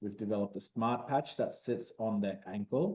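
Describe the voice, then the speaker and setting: Dark and mellow in tone, a man talks at a moderate pace. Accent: Australian. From Australia. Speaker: medtech startup founder. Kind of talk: interview.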